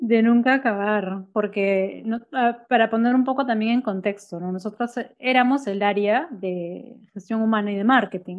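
Against a quiet background, a woman talks fairly slowly in an unremarkable speaking voice. Her pitch is fairly high, with ordinary pitch variation. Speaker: marketing agency owner. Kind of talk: casual chat. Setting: home office.

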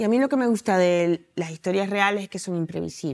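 In a very clean recording with a silent background and a dry, close sound with no echo, a woman talks very fast at a medium pitch with ordinary pitch variation. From Venezuela. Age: 40s. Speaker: novelist and journalist. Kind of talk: interview.

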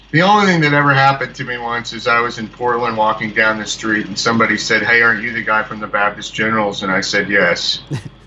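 A man at a very fast pace with hardly any pauses, medium pitch, noticeable background noise behind him. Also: ordinary pitch variation. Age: 40s. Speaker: musician and filmmaker. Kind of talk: casual phone interview.

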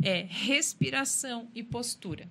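A woman with a bright, sharp tone on a very clean recording with a silent background. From Rio Grande do Sul, Brazil. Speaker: personal trainer. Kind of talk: casual interview chat.

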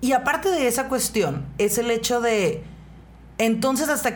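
A woman with a northern Mexican accent. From Mexicali, Baja California, Mexico. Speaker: radio host. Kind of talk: casual chat. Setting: studio.

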